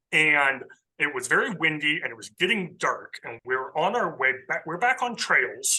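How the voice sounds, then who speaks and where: Loud and bright with a sharp tone, a man with an American accent talks at a fairly quick pace in a fairly high pitch that makes very wide swings. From US West Coast, coastal Southern California. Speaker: ecologist. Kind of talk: casual interview.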